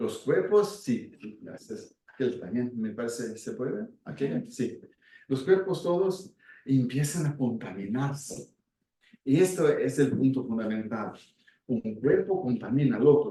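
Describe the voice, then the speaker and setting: A man speaks very slowly in a fairly high, somewhat breathy voice with a dark, mellow tone. His pitch swings very widely. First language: Portuguese (speaking Spanish). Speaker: speaker on Gestalt and community work. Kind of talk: talk with audience. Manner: halting.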